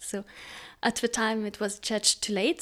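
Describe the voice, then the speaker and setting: Fairly high in pitch, a woman speaks with a Lithuanian accent. Her pace is moderate and her intonation fairly even. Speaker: composer. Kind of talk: interview. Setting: video call. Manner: halting, many fillers.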